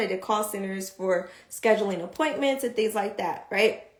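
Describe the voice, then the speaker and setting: There is noticeable background noise as a woman talks in an animated tone at a fairly high pitch. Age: 30s. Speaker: vlogger. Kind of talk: casual livestream talk. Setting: livestream. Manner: fast.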